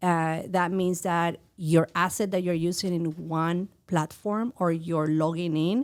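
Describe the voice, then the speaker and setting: A woman speaks at a fairly low pitch and a fairly slow pace, with fairly even intonation. The recording is very clean, with a silent background. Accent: Mexican. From Mexico City. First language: Spanish. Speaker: VJ, art teacher and NFT creator. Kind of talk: podcast interview.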